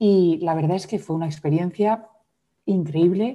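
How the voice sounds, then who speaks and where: A woman's dark, mellow voice at a fairly low pitch, with fairly even intonation. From Madrid, Spain, then raised abroad. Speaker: yoga teacher and trauma specialist. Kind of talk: interview conversation.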